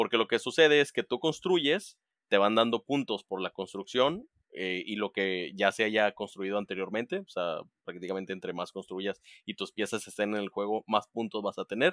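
In a very clean recording with a silent background and a dry, close sound with no echo, a man speaks at a fairly low pitch and moderate pace with ordinary pitch variation. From Monterrey, northern Mexico. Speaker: board game event organizer. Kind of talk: casual chat. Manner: talkative.

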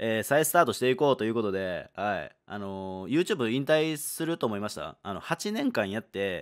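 On a very clean recording with a silent background, a man has a plain, everyday voice at a medium pitch. He speaks at a moderate pace with lively intonation and hardly any pauses. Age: 20s. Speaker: gaming YouTuber. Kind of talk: solo video monologue announcement. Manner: casual, relaxed.

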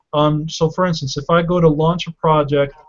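Somewhat breathy, fairly even speech over a quiet background. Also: man. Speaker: webinar host and channel founder. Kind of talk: live webinar Q&A. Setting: video call. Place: home room. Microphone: webcam.

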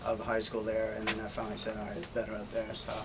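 Through clear background noise, a man with an American accent speaks fast at a fairly low pitch, his intonation monotone and flat.

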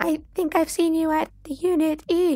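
This squeaky, female-sounding voice is a put-on character voice at an extremely high pitch. It moves at a moderate pace. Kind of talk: reading game text aloud.

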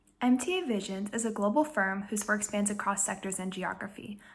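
A woman's fairly high voice, fairly quick pace, ordinary pitch variation. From US Northeast, Connecticut. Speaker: student intern. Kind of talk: scripted self-introduction. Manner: formal. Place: home room. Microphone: phone near.

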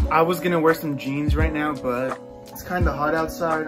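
Clear music plays in the background. Over it, a man speaks with an American accent. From Los Angeles. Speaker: vlogger. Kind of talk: casual vlog talk to camera. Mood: playfully annoyed, teasing sister. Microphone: phone near.

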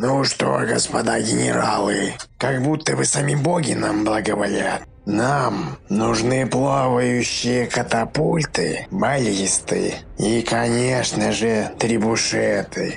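A man's medium-pitched voice at a fairly slow pace, with clear background noise. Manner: commanding, blustering.

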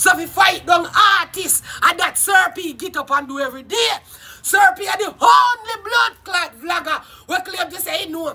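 Speaking at a moderate pace with a Jamaican accent, this voice has an animated tone over light background noise. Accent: Jamaican Patois. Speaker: YouTube live streamer. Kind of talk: casual live-stream rant. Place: garden. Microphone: phone near.

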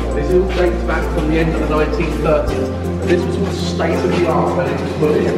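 Loud music plays in the background, and there is audible room echo. The speech moves at a moderate pace. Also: man. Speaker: tour guide. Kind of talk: guided tour explanation. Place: tunnel cave. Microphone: camera far.

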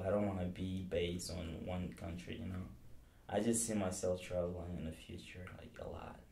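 There is audible room echo around a man with a very deep, low pitch. He talks at a moderate pace and sounds somewhat breathy. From Mali. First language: Bambara / French. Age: 20s. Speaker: college student. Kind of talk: interview.

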